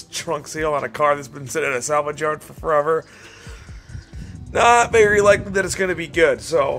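The man's delivery is on the quick side. Soft music can be heard behind him. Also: ordinary pitch variation, big swings in loudness. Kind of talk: casual vlog chat. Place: garage. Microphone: phone near.

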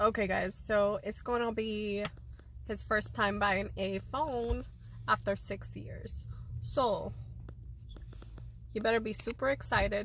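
Light background noise and a dry sound with no echo accompany a woman speaking at a very slow pace with long, frequent pauses. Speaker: vlogger. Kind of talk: casual vlog chat. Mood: playful, mock annoyed. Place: car. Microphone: phone near.

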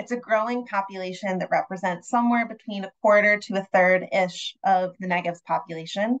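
With an unremarkable speaking voice, a woman talks quickly at a medium pitch with fairly even intonation and hardly any pauses, in a dry, close sound with no echo. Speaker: nonprofit associate director and webinar moderator. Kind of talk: online panel moderation. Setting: video call.

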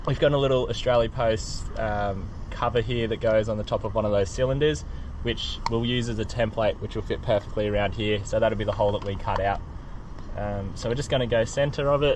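A man talks at a fairly quick pace with light background noise behind him. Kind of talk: tutorial. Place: street.

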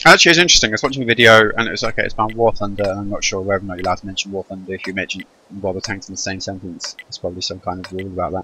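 A man talks very fast at a fairly low pitch. Noticeable background noise is heard, and his pitch variation is ordinary. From Channel Islands. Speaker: gaming video creator. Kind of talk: casual gameplay commentary.

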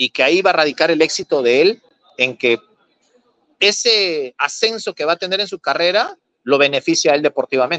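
A man with a fairly high voice talks at a fairly quick pace, his bright, sharp tone and lively intonation set against a quiet background in a dry sound with no echo. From Peru. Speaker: former footballer and football coach. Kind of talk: casual interview. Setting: video call. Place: home room. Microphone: video call.

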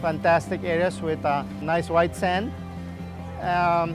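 A man's fairly high-pitched voice with lively intonation, dry with no echo, over clear music in the background. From Aruba. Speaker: marine biologist. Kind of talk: interview answer. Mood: calm, friendly. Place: beach.

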